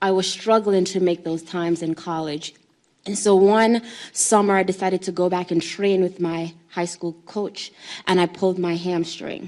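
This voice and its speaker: At a moderate pace, a woman with a Jamaican accent speaks in a flat monotone at a medium pitch. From Jamaica, then New York City from age six. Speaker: human trafficking survivor and former college athlete. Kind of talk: conference interview testimony.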